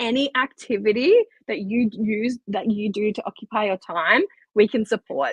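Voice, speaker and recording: A woman speaks at a fairly high pitch with an Australian accent, somewhat breathy. The sound is dry and close with no echo. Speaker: occupational therapist. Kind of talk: podcast interview. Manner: hesitant, with filler words.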